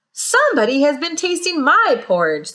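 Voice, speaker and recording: A woman's loud, growling put-on character voice, high in pitch. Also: moderate pace. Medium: read story.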